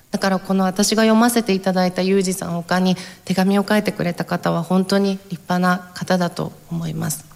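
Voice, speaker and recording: A woman at medium pitch with monotone, flat intonation, over noticeable background noise. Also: moderate pace, hardly any pauses. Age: 20s. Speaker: event speaker reading a letter. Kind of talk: public speech. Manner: formal.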